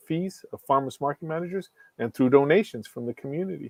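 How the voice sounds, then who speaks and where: Lively intonation carries a man's speech along at a fairly quick pace. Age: 60s. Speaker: professor. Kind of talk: interview. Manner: energetic.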